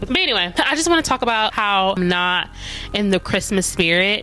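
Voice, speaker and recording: The speaker is a woman. Noticeable background noise runs through the clip. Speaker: vlogger. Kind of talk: casual chat. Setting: at home in front of Christmas tree. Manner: rambling, conversational.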